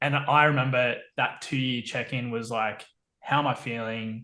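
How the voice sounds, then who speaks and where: In an Australian accent, a man talks at a fairly slow pace and medium pitch, his tone bright and sharp and his intonation monotone and flat. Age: 30s. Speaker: permaculture educator and engineer. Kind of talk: podcast interview.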